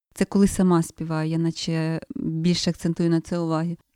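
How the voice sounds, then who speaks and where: A woman's voice with a dark, mellow tone. The sound is dry and close with no echo, on a very clean recording with a silent background. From Ukraine, southern Chernihiv region (village). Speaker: singer, composer and folk singing teacher. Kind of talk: interview.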